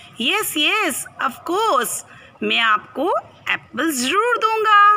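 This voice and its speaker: In a put-on character voice, a woman speaks at a very slow pace, her extremely high pitch swinging very widely. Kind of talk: children's storytelling. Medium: read story. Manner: cheerful, then indignant.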